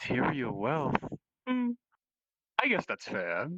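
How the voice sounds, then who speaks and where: A man puts on a character voice with a fairly high pitch and a calm, amused tone, speaking at a fairly slow pace. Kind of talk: courtly formal speech. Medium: game stream. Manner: calm, polite, faintly amused.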